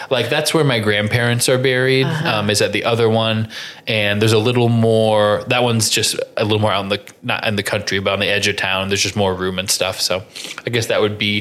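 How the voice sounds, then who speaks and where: A man with a Midwestern American accent speaks at a fairly low pitch and a fairly quick pace. His intonation is fairly even, his loudness very even, with noticeable background noise behind him. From Indiana, US Midwest. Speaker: podcast host. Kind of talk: casual chat.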